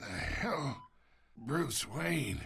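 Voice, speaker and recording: A raspy, put-on character voice with very wide pitch swings. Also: man, medium pitch for a man. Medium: video game. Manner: gravelly, taunting.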